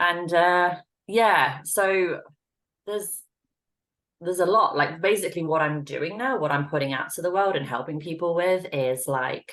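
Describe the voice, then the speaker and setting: A woman with an English accent, her fairly low voice carrying ordinary pitch variation at a moderate pace. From England. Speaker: intuitive reader and relationship coach. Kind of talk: casual chat.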